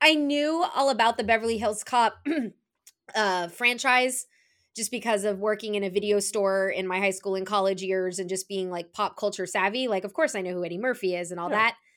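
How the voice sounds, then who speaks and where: An unremarkable speaking voice from a woman, medium in pitch with ordinary pitch variation and a fairly quick pace, on a very clean recording against a silent background. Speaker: film podcaster. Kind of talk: casual chat.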